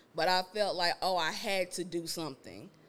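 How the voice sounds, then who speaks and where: Her pitch sits at a medium level for a woman. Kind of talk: casual chat. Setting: studio with live audience.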